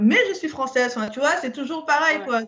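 Her pitch variation is ordinary. This woman talks at a moderate pace. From Cameroon (Yaoundé), then France from age 9. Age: 40s. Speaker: podcast guest. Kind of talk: casual chat.

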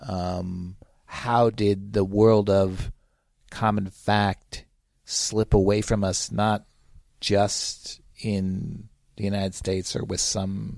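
Monotone, flat intonation from a man at a fairly low pitch, with long, frequent pauses and a very clean recording over a silent background. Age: 60s. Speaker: media critic and academic. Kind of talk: interview.

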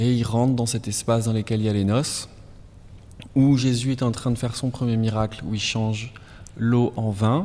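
A dark, mellow tone delivered at a moderate pace in a flat monotone, with long, frequent pauses on a very clean recording over a silent background. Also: man, medium pitch for a man. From southwest France, Basque Country. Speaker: painter. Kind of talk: interview during museum walk. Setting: in a museum gallery. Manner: halting.

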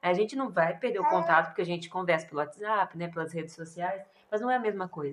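With a fairly low pitch and ordinary pitch variation, a woman speaks at a very fast pace. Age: 20s. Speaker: missionary. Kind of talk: interview.

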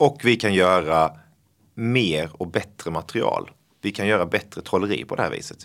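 Heard in a very clean recording with a silent background, a man speaks at a moderate pace with lively intonation. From Blekinge, southern Sweden. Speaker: magician. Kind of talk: casual chat.

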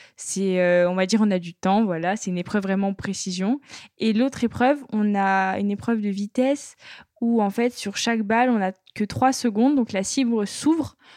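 It's a plain, everyday voice, a woman's, medium in pitch, with ordinary pitch variation. She talks at a moderate pace against a quiet background. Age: 20s. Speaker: sport shooter. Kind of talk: interview.

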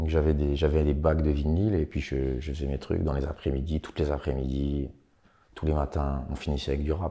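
A man with a very deep, low pitch and dark, mellow tone speaks at a fairly quick pace in a monotone, flat intonation. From eastern France, Franche-Comté. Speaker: rapper. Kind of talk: interview.

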